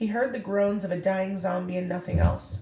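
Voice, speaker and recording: Using a put-on character voice, a woman talks at a moderate pace. Her voice is raspy, at a medium pitch. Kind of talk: classroom read-aloud. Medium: read story.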